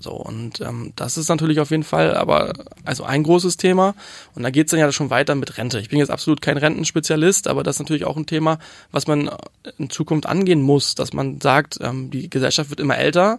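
This man's voice is fairly high, with ordinary pitch variation. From Hamburg, Germany. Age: 20s. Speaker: youth politician. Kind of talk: interview. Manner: hesitant with fillers.

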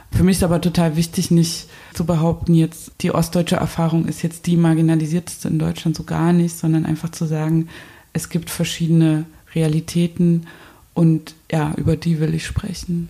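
A woman speaks at a moderate pace with a dark, mellow tone and fairly low pitch. Her voice is somewhat breathy, with a monotone, flat intonation. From eastern Germany (Saxony, Zwickau). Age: 30s. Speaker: installation artist. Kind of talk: interview. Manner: hesitant with many fillers.

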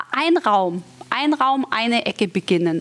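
The pitch swings very widely. Noticeable background noise runs underneath. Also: woman. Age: 40s. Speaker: model and TV presenter, mother of two. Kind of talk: sponsored casual chat about tidying kids' rooms. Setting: studio set styled as a children's room. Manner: animated.

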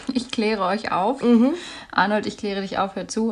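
A woman's voice at a fairly high pitch. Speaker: podcast co-host, news presenter. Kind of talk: casual chat. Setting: at home. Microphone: deliberately uses a worse microphone.

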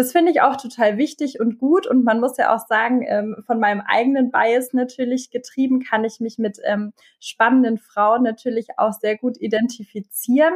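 A woman's high-pitched voice at a moderate pace, with ordinary pitch variation, hardly any pauses and a dry, close sound with no echo. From Bavaria, Germany. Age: 30s. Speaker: transformation manager and youth education advocate. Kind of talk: podcast interview.

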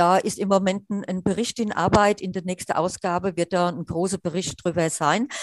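With a strong Hessian accent, a woman speaks at a medium pitch and a moderate pace, with hardly any pauses and fairly even intonation, in a dry, close sound with no echo. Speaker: wheelchair user and accessibility activist. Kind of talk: interview. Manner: halting with many fillers.

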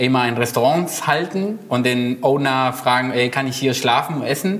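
A man's medium-pitched voice with a Spanish accent at a moderate pace, over noticeable background noise. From Argentina, Buenos Aires. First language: Spanish (speaking German). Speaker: illustrator and designer. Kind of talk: casual chat.

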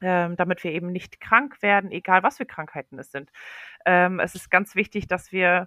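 At a moderate pace, a woman speaks with a bright, sharp tone at medium pitch, in a very clean, dry, close recording with no echo and a silent background. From Poland. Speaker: healthy eating advocate and mom blogger. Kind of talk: interview on a children's podcast. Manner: frequent hesitations and fillers.

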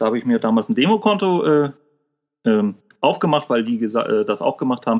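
At a fairly quick pace, a man with a medium pitch makes very wide pitch swings and leaves long, frequent pauses. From northern Germany, Kiel. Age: 30s. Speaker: service technician and part-time trader. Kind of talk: interview. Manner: casual, colloquial.

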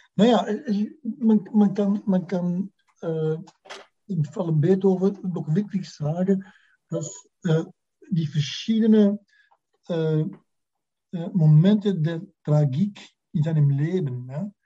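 Speaking at a very slow pace with long, frequent pauses, a man with a Dutch accent has a high pitch, a dark, mellow tone and ordinary pitch variation. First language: Dutch (speaking German). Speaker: music historian. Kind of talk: interview. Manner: halting, many fillers.

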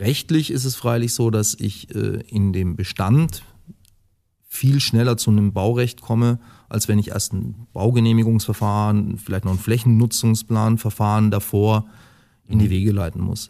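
A man's fairly low, dark and mellow voice, fairly slow and fairly even in intonation, on a very clean recording with a silent background. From Lower Franconia, Germany (Würzburg, Tauber valley). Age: 40s. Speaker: football club president. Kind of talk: podcast interview.

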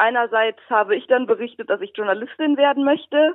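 With lively intonation, a woman speaks in a high-pitched voice. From Rhineland, Germany. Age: 20s. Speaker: blind blogger and student. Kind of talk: interview.

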